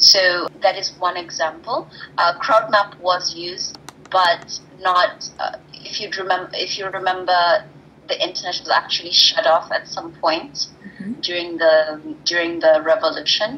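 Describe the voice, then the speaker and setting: The speech comes at a fairly slow pace with ordinary pitch variation. There is noticeable background noise. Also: woman, medium pitch for a woman. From Kenya. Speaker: tech entrepreneur, co-founder of a crisis-mapping platform. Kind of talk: interview answer.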